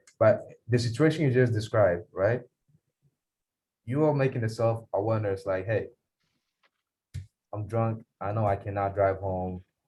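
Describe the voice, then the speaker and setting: Somewhat breathy and dark, mellow in tone, a man's medium-pitched voice moves with ordinary pitch variation and long, frequent pauses. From Ghana. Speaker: police officer. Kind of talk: Q&A talk to students. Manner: fast; animated.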